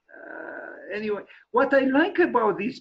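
A man at a moderate pace with lively intonation, over a quiet background. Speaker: lecturer on architecture. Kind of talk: online lecture with slides. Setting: video call screen share. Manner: hesitant, many fillers. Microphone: video call.

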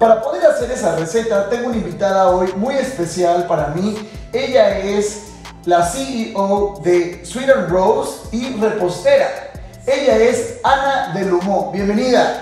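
A man's voice, high-pitched for a man, at a very slow pace, with ordinary pitch variation, strong room echo and faint music in the background. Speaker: show host. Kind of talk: cooking show presentation. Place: kitchen.

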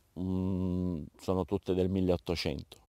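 A man speaks in a very deep, low voice with a dark, mellow tone against a quiet background. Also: dry sound with no echo. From Apulia, southern Italy. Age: 50s. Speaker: olive farmer. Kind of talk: interview. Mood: proud, explanatory. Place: farm.

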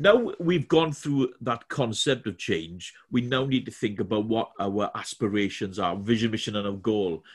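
The speaker has a Welsh accent and lively intonation at a moderate pace. There are hardly any pauses, and the background is quiet. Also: man, medium pitch for a man. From Wales. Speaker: corporate trainer. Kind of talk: webinar presentation. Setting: video call from home. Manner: halting, many fillers and repetitions. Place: home room.

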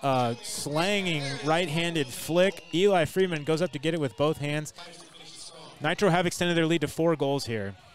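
Music plays in the background as a man talks at a moderate pace. His pitch is fairly high and varies in an ordinary way. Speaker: play-by-play commentator. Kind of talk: live sports commentary.

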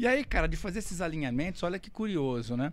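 Lively intonation marks this man's speech. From Brazil. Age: 50s. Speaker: racing driver; podcast guest. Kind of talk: casual chat. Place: studio. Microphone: studio mic.

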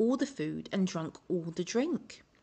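A woman with an English accent, vocal fry, and lively intonation. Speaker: children's story reader. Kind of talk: reading aloud. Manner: expressive storytelling.

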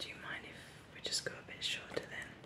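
The pace here is moderate. A woman whispers. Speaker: ASMR creator playing hairdresser. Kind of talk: ASMR personal attention roleplay, friendly haircut. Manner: whispered. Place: home room.

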